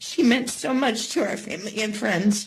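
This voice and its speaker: A woman speaks with a somewhat breathy, fairly high voice, and the room gives audible echo. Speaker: victim's family member. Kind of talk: victim impact statement. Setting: courtroom. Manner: halting.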